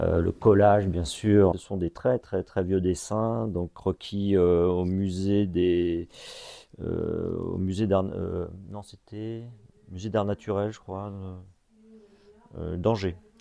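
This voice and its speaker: A man's very deep, low voice, dark and mellow in tone, with fairly even intonation, a very slow pace, long, frequent pauses and big swings in loudness. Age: 50s. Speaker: artist and arts association founder. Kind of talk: interview. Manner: halting, many hesitations.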